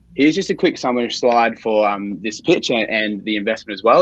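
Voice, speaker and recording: A man speaks very fast with an Australian accent. His pitch varies in an ordinary way. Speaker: startup founder. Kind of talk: sales pitch.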